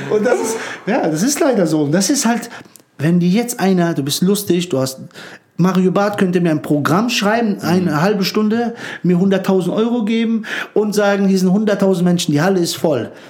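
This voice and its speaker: A man speaks at a high pitch and a moderate pace with ordinary pitch variation and very even loudness. Audible room echo can be heard. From former Yugoslavia, raised in Frankfurt-Höchst. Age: 30s. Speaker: stand-up comedian. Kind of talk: casual interview chat. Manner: talkative.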